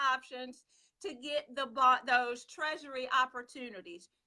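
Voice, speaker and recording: A woman projects a raised voice at a fairly slow pace. Her tone is bright and sharp, with a high pitch. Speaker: personal finance live show host. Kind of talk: live stream talk. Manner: excited, hyper.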